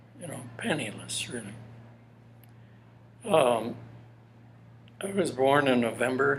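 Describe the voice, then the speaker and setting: A man with an American accent talks at a medium pitch and a fairly slow pace. His pitch varies in an ordinary way, and the room echo is audible. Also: long, frequent pauses, big swings in loudness. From Minnesota, US Upper Midwest. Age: 80s+. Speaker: elderly interviewee sharing life story. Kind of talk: personal testimony interview. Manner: halting, many fillers.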